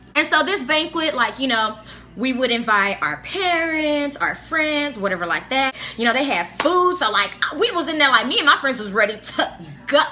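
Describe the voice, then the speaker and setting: Raising and projecting her high voice, a woman speaks at a moderate pace in an animated tone with very wide pitch swings amid noticeable background noise. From Africa. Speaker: YouTuber. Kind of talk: storytelling. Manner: animated casual; stuttering, halting at times.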